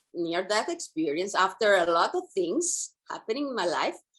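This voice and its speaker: The speaker is a woman with an Italian accent. Her intonation is lively. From Italy. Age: 50s. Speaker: author and women's guide. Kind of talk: interview.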